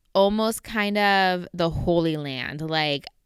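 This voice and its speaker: A woman with a Southern Californian accent, lively intonation and a very slow pace. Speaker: podcast host. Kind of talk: personal storytelling monologue. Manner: casual, conversational.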